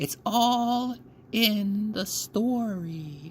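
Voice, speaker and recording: A put-on character voice at a fairly high pitch, with clear background noise. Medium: read story. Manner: terse, grave.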